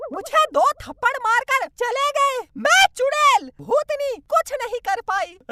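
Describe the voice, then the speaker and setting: This cartoonish character voice sits at an extremely high pitch and moves at a fairly slow pace with hardly any pauses. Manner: menacing.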